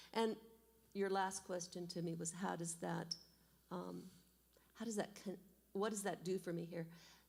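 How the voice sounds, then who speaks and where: Woman's fairly low, dark and mellow voice with an American accent and vocal fry, monotone and flat, at a moderate pace with long, frequent pauses. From southeast Idaho, US. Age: 60s. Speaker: church member, math teacher and pianist. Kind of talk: testimony interview. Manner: loud.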